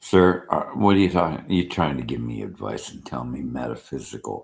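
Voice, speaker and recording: Vocal fry colors a man's lively intonation as he speaks at a moderate pace. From Australia. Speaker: vlogger. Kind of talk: rant. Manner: animated.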